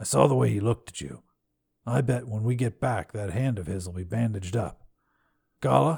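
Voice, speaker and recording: In a put-on character voice, a man speaks raspy and fairly low, at a fairly quick pace broken by long, frequent pauses, with very wide pitch swings and big swings in loudness. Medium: read story. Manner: terse, simple phrasing.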